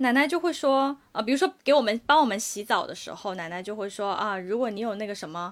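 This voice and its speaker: A woman speaks. The recording is very clean, with a silent background. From China, Guangdong. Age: 30s. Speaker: podcast co-host. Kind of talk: casual chat.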